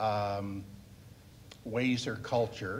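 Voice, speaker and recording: A man with a Canadian accent at a very slow pace, fairly even intonation, and audible room echo. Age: 70s. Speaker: panelist, Navy veteran. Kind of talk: panel Q&A response. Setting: public library panel with audience.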